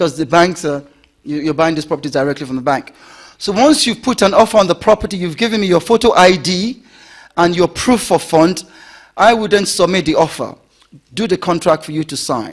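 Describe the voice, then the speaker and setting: A man's high-pitched voice with lively intonation at a fairly quick pace. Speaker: property investment seminar presenter. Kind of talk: seminar presentation. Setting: stage with audience.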